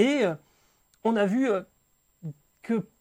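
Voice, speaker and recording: A man talks with ordinary pitch variation in a very clean recording with a silent background. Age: 40s. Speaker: motorsport podcast host. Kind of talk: casual chat.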